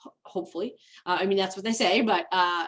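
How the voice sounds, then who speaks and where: Her voice sits at a medium pitch. This woman keeps her intonation fairly even. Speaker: webinar presenter, document management consultant. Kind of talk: webinar presentation. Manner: fast; informal, conversational.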